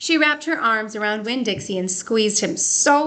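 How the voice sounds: The speaker reads in a natural reading voice.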